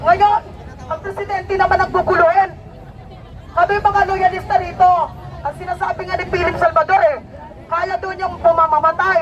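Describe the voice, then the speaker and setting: With crowd noise behind her, a woman speaks at a moderate pace in an extremely high, animated voice, leaving long, frequent pauses. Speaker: fish vendor and political supporter. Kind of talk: rally speech. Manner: animated, impassioned.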